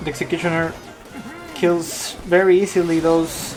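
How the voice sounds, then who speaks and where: Someone speaks with a non-native accent over noticeable background noise. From Peru. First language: Spanish. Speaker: esports caster. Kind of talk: live commentary.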